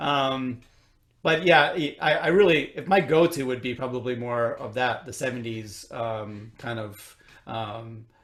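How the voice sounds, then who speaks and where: With a slight Chicago accent, a man talks at a fairly slow pace and a medium pitch, showing ordinary pitch variation and big swings in loudness. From US Midwest, Chicago. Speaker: orchestral trumpet player. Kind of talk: interview. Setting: recorded at home. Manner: halting, many fillers and repeats.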